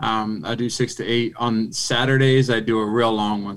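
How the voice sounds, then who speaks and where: With an American accent, a man in an unremarkable speaking voice talks at a fairly slow pace, medium pitch and fairly even intonation. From Philadelphia, US. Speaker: retired football player. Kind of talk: casual chat.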